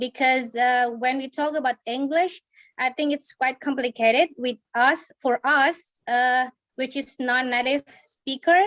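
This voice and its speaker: Speaking with an Indonesian accent, a woman talks at a high pitch and a fairly slow pace, her intonation fairly even and the sound dry and close with no echo. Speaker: university lecturer. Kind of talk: webinar audience question. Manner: halting.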